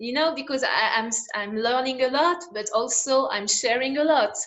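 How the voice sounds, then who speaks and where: Ordinary pitch variation and a moderate pace in a woman's voice, high in pitch. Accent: French. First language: French. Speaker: interviewer, coach. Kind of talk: interview. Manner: halting.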